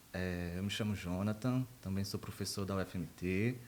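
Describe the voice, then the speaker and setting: This man has a northeastern Brazilian accent. He speaks at a moderate pace. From Brazil, Rio Grande do Norte (northeast), small interior town. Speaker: university professor of animal science. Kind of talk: podcast interview.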